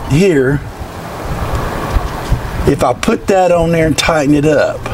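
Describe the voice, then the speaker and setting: A man speaks at a moderate pace. There is noticeable background noise. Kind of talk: casual tutorial commentary. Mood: jokey, self-deprecating. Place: farm machine.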